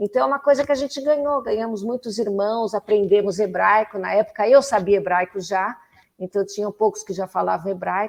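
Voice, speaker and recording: Moving fairly quickly, a woman talks in a medium pitch that varies in an ordinary way. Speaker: political activist. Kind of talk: interview.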